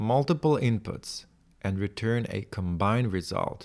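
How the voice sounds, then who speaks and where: A man with a non-native accent, medium pitch, lively intonation and moderate pace, on a very clean recording with a silent background. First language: not English. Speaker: tech tutorial creator. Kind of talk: screen-share tutorial, thinking aloud. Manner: halting, many restarts and fillers.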